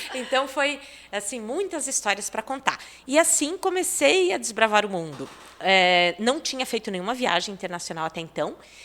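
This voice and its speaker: Very wide pitch swings at a moderate pace. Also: woman, fairly high pitch for a woman. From Brazil, Paraná (Itapejara do Oeste, rural). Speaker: TV presenter. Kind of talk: casual chat.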